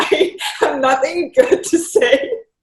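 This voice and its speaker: With a Thai accent, a woman speaks in very wide pitch swings. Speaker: professional golfer. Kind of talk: casual chat. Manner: halting, many fillers.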